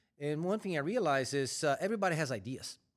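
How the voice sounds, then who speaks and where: This man speaks in a Brazilian accent at a fairly high pitch and a moderate pace, with lively intonation. The recording is very clean, with a silent background. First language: Portuguese. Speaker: corporate supply chain executive. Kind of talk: interview.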